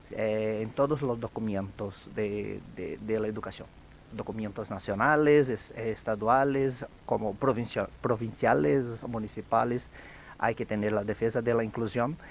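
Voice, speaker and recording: A fairly slow pace in a Brazilian accent. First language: Portuguese (speaking Spanish). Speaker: education academic. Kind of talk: radio interview.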